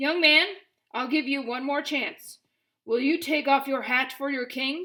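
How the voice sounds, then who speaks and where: A woman uses a put-on character voice with a high pitch. She keeps a moderate pace and fairly even intonation. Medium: read story. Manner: imperious, commanding.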